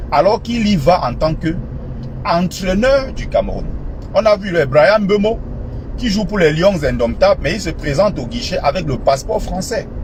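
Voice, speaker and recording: Amid noticeable background noise, a man talks at a moderate pace in a high pitch with lively intonation. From Cameroon. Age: 30s. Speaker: political commentator. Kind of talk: political commentary monologue.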